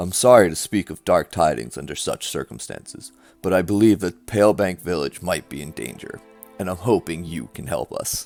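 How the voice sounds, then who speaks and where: A man puts on a gruff character voice, very deep and low, soft-spoken at a moderate pace. Faint music plays behind him. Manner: soft-spoken, grave.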